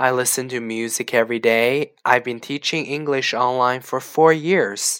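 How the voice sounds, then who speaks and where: A man with a Canadian accent speaks in a normal speaking voice at medium pitch, hardly pausing, on a very clean recording with a silent background. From Canada. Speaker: online English teacher. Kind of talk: language lesson reading aloud. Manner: slow.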